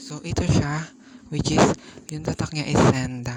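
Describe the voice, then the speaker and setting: A soft-spoken man at a fairly quick pace, fairly even intonation, music in the background. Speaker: vlogger. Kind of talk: unboxing vlog. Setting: at home at night.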